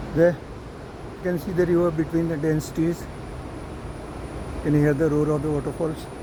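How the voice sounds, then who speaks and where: Noticeable background noise sits under a man's fairly high voice, delivered in a monotone, flat intonation. He keeps a moderate pace, broken by long, frequent pauses. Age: 70s. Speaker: travel vlogger. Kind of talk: travel vlog narration. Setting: outdoors.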